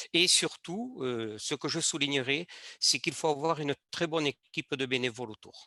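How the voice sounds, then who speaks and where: A man's bright, sharp voice at a moderate pace, with ordinary pitch variation, against a quiet background. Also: fairly high pitch for a man, dry, close sound with no echo. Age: 60s. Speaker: judo club leader and former teacher. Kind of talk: panel discussion. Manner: hesitant, many fillers.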